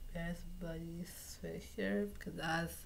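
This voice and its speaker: A woman's dark, mellow, somewhat breathy voice at a very slow pace. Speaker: vlogger. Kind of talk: casual vlog. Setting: at home. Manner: halting.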